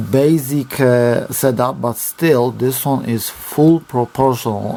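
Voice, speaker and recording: A man with a Polish accent and medium pitch speaks at a very slow pace amid noticeable background noise. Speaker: RC hobby reviewer. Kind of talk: product review. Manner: halting.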